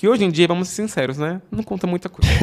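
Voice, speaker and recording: The speaker is a man with a high voice. His pitch variation is ordinary. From Brazil, São Paulo metro area (Osasco). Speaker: software developer. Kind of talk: casual chat. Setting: studio.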